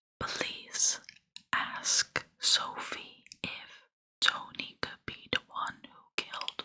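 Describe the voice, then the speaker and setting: A very slow whisper in a calm, soothing tone. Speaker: ASMR content creator. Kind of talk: whispered true crime ASMR storytelling. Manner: whispered, calm, soothing.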